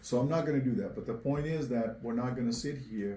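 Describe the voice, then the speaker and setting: In a dark, mellow, somewhat breathy tone, a man of medium pitch talks at a fairly quick pace with audible room echo. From Angola (born Cape Verde). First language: Portuguese. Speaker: mayoral candidate. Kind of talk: interview.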